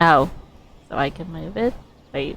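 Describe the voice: Her pitch moves in an ordinary way as the woman talks.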